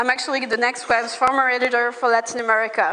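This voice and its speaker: With a non-native accent, a woman talks at a fairly quick pace and a high pitch. Background noise is noticeable. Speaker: startup founder. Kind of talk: pitch presentation.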